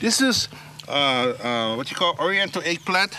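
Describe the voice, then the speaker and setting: A man with a Hawaiian accent speaks in a raised, projected voice, his pitch swinging very widely over noticeable background noise. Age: 50s. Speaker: farmer and slack key musician. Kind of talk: casual talk on farm tour. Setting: outdoors.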